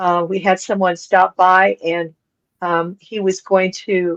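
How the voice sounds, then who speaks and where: Recorded with a dry, close sound and no echo, a woman with an American accent and an ordinary speaking voice talks at medium pitch and a fairly slow pace. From Colorado. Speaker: podcast co-host. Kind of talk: casual chat.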